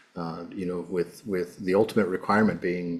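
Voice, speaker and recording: A man speaks with audible room echo around him. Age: 60s. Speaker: monk giving a lecture. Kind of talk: lecture. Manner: halting, searching for words.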